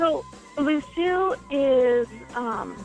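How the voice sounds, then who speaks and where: Music plays in the background as a woman with a Californian accent talks with ordinary pitch variation. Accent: Californian American English. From Los Angeles. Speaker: singer-songwriter. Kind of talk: interview answer.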